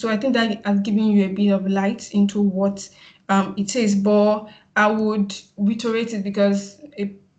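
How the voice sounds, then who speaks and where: A woman speaks at medium pitch in a somewhat breathy voice with monotone, flat intonation. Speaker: PR practitioner, summit speaker. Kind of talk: webinar presentation. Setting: video call. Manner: fast; halting, many fillers.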